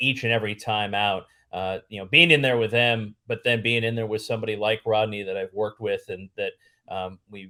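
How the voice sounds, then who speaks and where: An unremarkable speaking voice from a man, fairly low in pitch, at a moderate pace with fairly even intonation. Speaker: stadium announcer and play-by-play broadcaster. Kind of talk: interview answer.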